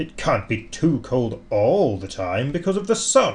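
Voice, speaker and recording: Using a put-on character voice, a man with a fairly high pitch talks at a fairly slow pace against light background noise. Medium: read story.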